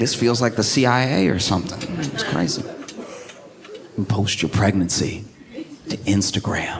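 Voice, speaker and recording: A man's fairly low voice with ordinary pitch variation, a moderate pace and long, frequent pauses, over noticeable background noise. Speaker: stand-up comedian and podcast host. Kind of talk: stand-up comedy set, conversational.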